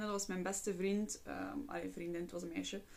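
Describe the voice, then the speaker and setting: A woman's voice at a medium pitch and moderate pace, with fairly even intonation, an unremarkable speaking voice. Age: 20s. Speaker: psychologist and podcast host. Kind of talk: casual monologue.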